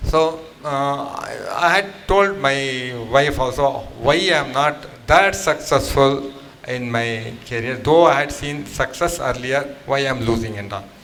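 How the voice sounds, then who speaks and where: Fairly slow speech with ordinary pitch variation, audible room echo and music in the background. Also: man, fairly high pitch for a man. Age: 60s. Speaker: program participant. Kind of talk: testimony.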